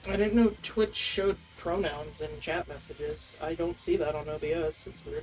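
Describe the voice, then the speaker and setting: The speaker is soft-spoken and keeps a moderate pace. Noticeable background noise sits behind the voice. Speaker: streamer. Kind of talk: casual chat.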